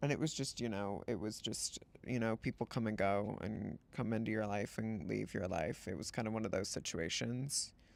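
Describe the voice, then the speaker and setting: On a very clean recording with a silent background, a man with a fairly low pitch and vocal fry talks at a moderate pace with hardly any pauses. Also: ordinary pitch variation. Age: 20s. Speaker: streamer. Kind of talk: casual chat.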